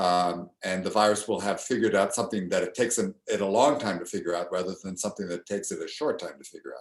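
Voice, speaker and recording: The man rushes along at a very fast pace. Pauses are almost absent from his speech. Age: 60s. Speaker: immunology professor. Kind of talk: interview. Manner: halting.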